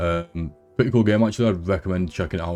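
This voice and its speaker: A man talks at a very fast pace. He has a British accent. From UK. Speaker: gaming YouTuber. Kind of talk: casual chat. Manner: animated.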